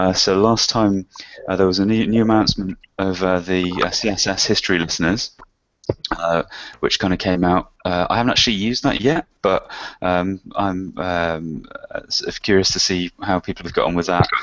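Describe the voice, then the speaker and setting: A man with a very deep, low pitch talks at a moderate pace and a fairly even intonation. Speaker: web analytics expert hosting a Q&A. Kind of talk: online workshop chat. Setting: video call. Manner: hesitant, many fillers.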